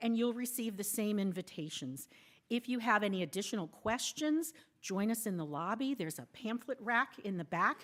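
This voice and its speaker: A woman with a normal speaking voice at a moderate pace, her intonation lively. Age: 60s. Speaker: worship service associate. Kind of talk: church announcements. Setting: church sanctuary.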